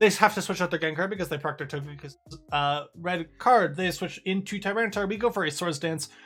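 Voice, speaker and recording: Music plays behind a man whose high-pitched voice moves at a fairly quick pace with ordinary pitch variation. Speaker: gaming video creator. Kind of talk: gameplay commentary. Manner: fast; casual with fillers.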